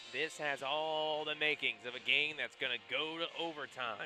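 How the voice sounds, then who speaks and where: A man's fairly high voice at a fairly slow pace, with noticeable background noise. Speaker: sports play-by-play announcer. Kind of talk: hockey play-by-play commentary.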